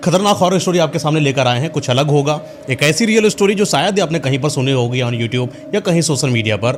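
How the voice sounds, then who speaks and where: Against noticeable background noise, a man with a fairly high pitch speaks at a moderate pace with lively intonation and hardly any pauses. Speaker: podcast host. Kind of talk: podcast host introduction.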